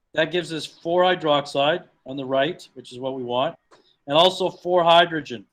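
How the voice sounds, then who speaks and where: A plain, everyday voice moves at a moderate pace with ordinary pitch variation and big swings in loudness. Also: man, fairly high pitch for a man. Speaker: chemistry teacher. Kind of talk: lecture.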